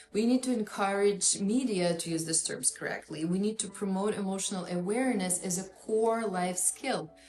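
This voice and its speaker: A woman with a Russian accent speaks at a moderate pace. There is noticeable background noise. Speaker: psychotherapist. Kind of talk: educational talk.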